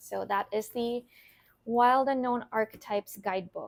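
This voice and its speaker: A woman talks at a fairly slow pace with ordinary pitch variation. The sound is dry and close with no echo, on a very clean recording with a silent background. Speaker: tarot and oracle card reader, content creator. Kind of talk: casual show and tell of card decks.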